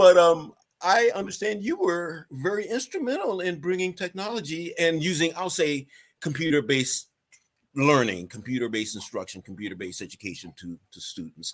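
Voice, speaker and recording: A man with a New York accent talks at a moderate pace, his loudness swinging widely. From Staten Island, New York. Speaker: interview host, education consultant. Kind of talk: interview.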